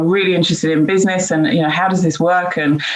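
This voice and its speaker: With audible room echo behind her, a woman speaks at a fairly low pitch and a fairly even intonation. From UK. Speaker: diversity and inclusion leader. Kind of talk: panel discussion. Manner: hesitant, many fillers.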